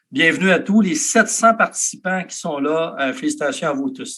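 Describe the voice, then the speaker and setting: With a slight Canadian French accent, a man speaks at a fairly quick pace in a high pitch, his bright, sharp tone carrying lively intonation. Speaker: network marketing leader. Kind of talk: sales pitch. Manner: energetic.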